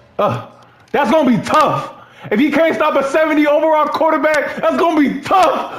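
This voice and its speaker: A man's extremely high voice at a fairly slow pace, with long, frequent pauses, audible room echo and faint music in the background. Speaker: gaming YouTuber. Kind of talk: angry rant, trash-talking while playing. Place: home room.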